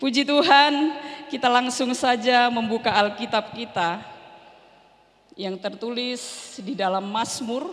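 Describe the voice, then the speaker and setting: Talking very slowly, a woman uses ordinary pitch variation, with noticeable background noise and audible room echo. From North Sumatra, Berastagi (Karo). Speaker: pastor. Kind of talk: sermon. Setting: church.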